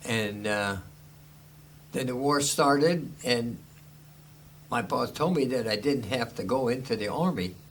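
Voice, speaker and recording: In an American accent, the speaker talks at a fairly slow pace with long, frequent pauses and ordinary pitch variation, with audible room echo. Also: man, medium pitch for a man. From Chicago. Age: 90s. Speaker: war veteran. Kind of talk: oral history interview. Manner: halting.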